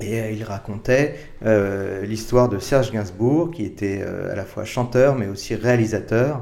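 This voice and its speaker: A man speaks very slowly at a medium pitch, his dark, mellow tone carrying ordinary pitch variation through audible room echo. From France, Paris. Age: 50s. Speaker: advertising creative director. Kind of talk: interview. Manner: hesitant, many repetitions and fillers.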